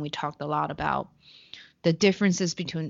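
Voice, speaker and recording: A woman speaks with a Chinese accent. Her pitch varies in an ordinary way. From China. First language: Mandarin Chinese. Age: 20s.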